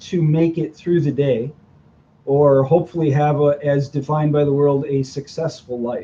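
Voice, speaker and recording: Fairly high in pitch, a man's somewhat breathy voice has a dark, mellow tone. His intonation stays fairly even. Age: 60s. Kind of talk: interview. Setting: video podcast.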